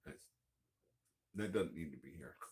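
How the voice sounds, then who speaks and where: This soft-spoken man has an American accent and a very deep, low pitch. Vocal fry runs through his voice. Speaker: homesteading vlogger. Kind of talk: casual vlog monologue. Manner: halting, many fillers.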